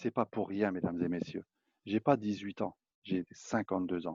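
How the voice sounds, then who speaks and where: A man's dark, mellow voice carries fairly even intonation in a dry, close sound with no echo. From eastern France. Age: 50s. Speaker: network marketing presenter. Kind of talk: sales pitch. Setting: public online presentation.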